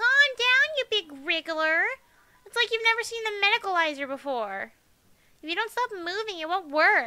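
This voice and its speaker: In a put-on character voice, a female-sounding speaker talks at an extremely high pitch and a moderate pace. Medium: game stream. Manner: sweet, patronizing.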